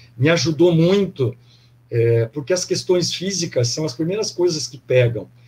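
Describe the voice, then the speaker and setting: Fairly high male speech in a plain, everyday voice, with ordinary pitch variation. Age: 60s. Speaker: former athlete, pilgrim sharing experience. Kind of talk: casual testimony in online live panel.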